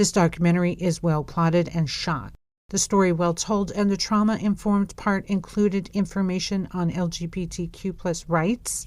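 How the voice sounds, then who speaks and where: A woman has an unremarkable speaking voice at a medium pitch, with fairly even intonation. She talks at a moderate pace with hardly any pauses, in a very clean recording with a silent background. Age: 50s. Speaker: podcast host, cult survivor. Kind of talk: monologue review.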